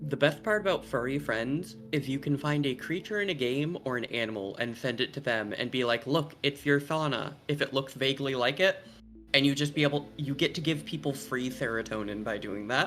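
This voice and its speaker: With music in the background, a man with a fairly high pitch talks at a fairly quick pace, hardly pausing, his pitch varying in an ordinary way. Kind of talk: casual chat.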